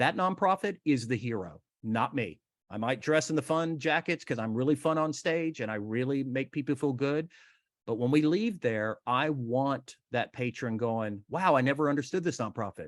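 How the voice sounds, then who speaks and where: Recorded dry and close with no echo over a quiet background, a normal speaking voice moves at a moderate pace with ordinary pitch variation. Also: man. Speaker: benefit auctioneer, fundraising consultant and author. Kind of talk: interview answer, conversational storytelling.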